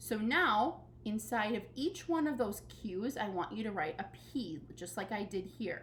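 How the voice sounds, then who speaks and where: Noticeable noise fills the background. Through it, a woman can be heard talking. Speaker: elementary school teacher. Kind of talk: recorded tutorial lesson.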